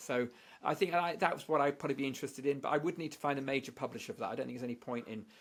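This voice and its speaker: With a British accent, a man speaks at a very fast pace. His pitch is fairly high, with ordinary pitch variation. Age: 60s. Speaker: statistician and author. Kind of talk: podcast interview. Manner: halting with many repeated words.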